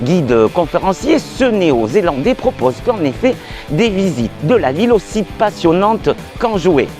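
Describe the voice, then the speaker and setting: Music plays behind a man with a high pitch who talks at a fairly slow pace. His pitch swings very widely while his loudness stays very even. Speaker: show host. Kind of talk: show introduction.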